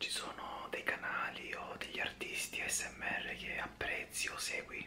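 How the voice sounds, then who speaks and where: The speaker is whispering. The pace is very slow. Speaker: ASMR interview host. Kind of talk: ASMR interview questions. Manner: whispered.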